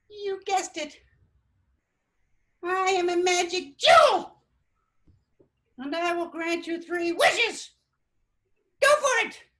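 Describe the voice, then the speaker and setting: Putting on a squeaky character voice, a woman speaks at an extremely high pitch and a fairly slow pace, with long, frequent pauses. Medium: solo performance.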